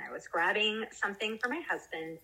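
A plain, everyday voice from a woman with an American accent, fairly high in pitch, with lively intonation. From US South, South Carolina. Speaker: cannabis-using mom, community group organizer. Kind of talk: casual interview.

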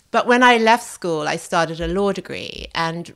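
A woman talks with vocal fry and ordinary pitch variation. The recording is very clean, with a silent background. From Australia. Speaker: chef and food writer. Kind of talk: interview.

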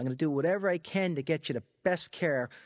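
A man with a New York accent speaks at a fairly high pitch. His intonation is lively, and the background is quiet. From US Northeast, Long Island, New York. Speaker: medical marijuana physician. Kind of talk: interview. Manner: halting.

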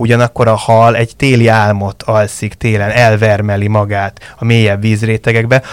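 A man speaks at a fairly low pitch and a moderate pace. His intonation is monotone and flat, and the sound is dry and close with no echo. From Budapest, Hungary. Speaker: fish farming industry association director. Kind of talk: interview.

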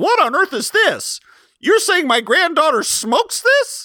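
An extremely high put-on character voice with very wide pitch swings, at a moderate pace, on a very clean recording with a silent background. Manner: shocked, disapproving.

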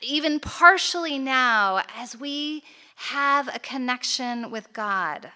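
A woman with an American accent speaks in a raised, projected voice, high in pitch and bright, sharp in tone. The recording is very clean, with a silent background. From United States. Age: 40s. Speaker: conference speaker. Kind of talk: conference talk. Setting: stage with audience.

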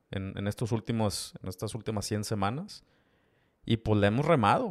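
With a Mexican accent, a man speaks at a fairly low pitch with ordinary pitch variation, his voice dry and close with no echo on a very clean recording with a silent background. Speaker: podcast host and e-commerce entrepreneur. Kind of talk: solo podcast monologue. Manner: casual, with many fillers and repetitions.

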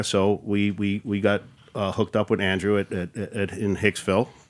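A man with a fairly low pitch and a New York accent, on a very clean recording with a silent background. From Queens, New York. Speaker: brewery owner. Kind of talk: casual chat.

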